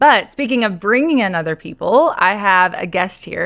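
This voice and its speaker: In an American accent, a woman talks at a moderate pace and medium pitch with very wide pitch swings. The recording is very clean, with a silent background. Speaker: podcast host and salon owner. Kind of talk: podcast interview.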